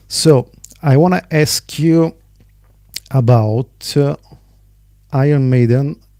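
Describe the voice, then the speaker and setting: This man has an Italian accent and a dark, mellow tone with ordinary pitch variation. The sound is dry and close with no echo. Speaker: podcast host. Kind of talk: interview.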